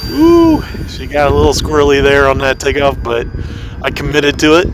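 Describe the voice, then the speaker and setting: Fairly quick speech with audible room echo and noticeable background noise. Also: man. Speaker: RC plane hobbyist vlogger. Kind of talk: live flying commentary. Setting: outdoors in a parking lot. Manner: usually loud, toned down here.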